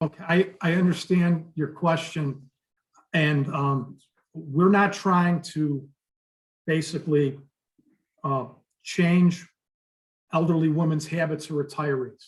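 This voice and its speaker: A man with an American accent at a very slow pace, with fairly even intonation and long, frequent pauses. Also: fairly high pitch for a man. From Chicago. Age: 50s. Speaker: business applicant. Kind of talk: public meeting Q&A. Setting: remote video meeting. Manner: halting.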